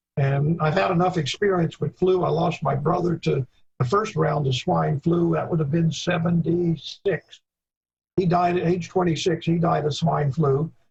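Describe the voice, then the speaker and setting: Moving at a moderate pace, a man talks in a high pitch with very even loudness. His intonation is fairly even. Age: 70s. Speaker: veterinary epidemiology expert. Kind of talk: Q&A discussion. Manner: halting.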